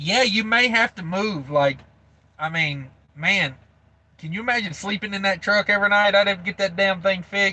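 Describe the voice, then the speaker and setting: A high-pitched man's raised, projected voice with a bright, sharp tone, ordinary pitch variation and a moderate pace. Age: 30s. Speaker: truck driver livestreamer. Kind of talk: livestream chat reading. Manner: casual, filler-heavy.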